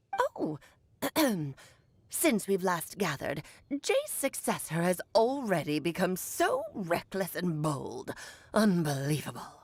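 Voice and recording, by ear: Using a put-on character voice at a medium pitch, a woman talks at a fairly slow pace with long, frequent pauses.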